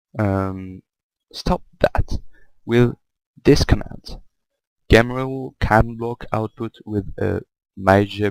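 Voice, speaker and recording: The speaker is a man with a French accent. He talks at a very slow pace. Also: long, frequent pauses, dry, close sound with no echo. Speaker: gaming YouTuber. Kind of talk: tutorial. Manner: halting, frequent repetitions.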